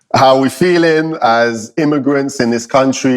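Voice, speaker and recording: A London accent at a moderate pace, with ordinary pitch variation. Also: man. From London, England. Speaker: podcast co-host. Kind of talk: casual chat.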